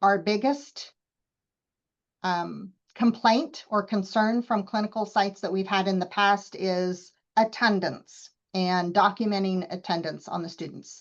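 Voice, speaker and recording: A woman's normal speaking voice at a medium pitch, with ordinary pitch variation and a fairly slow pace, over a quiet background. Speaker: college program instructor. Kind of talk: meeting presentation. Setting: video call.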